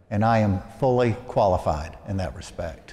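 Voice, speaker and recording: With an American accent, a man speaks at a moderate pace in a medium pitch, his tone dark and mellow with vocal fry, and the room echo is audible. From US South, Arkansas (Little Rock). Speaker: priest. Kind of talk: sermon.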